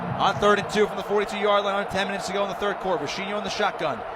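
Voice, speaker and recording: A man's voice, high in pitch, comes through noticeable background noise. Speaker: radio play-by-play announcer. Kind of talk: live sports radio play-by-play commentary.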